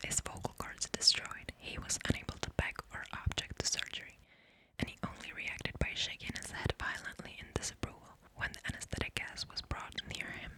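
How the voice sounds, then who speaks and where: A woman whispers at a fairly quick pace, her loudness swinging widely against noticeable background noise. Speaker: ASMR creator. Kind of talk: horror story reading, creepypasta. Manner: whispered, soft.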